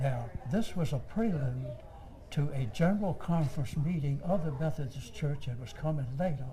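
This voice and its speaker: Over noticeable background noise, a man speaks at a fairly slow pace and fairly high pitch with ordinary pitch variation. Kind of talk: oral history interview answer. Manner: hesitant, with fillers.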